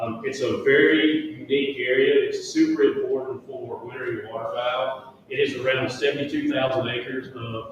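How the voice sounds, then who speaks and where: Amid noticeable background noise and audible room echo, a man speaks with a Central Louisiana accent. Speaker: wildlife agency land manager. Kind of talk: presentation at public meeting. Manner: fast.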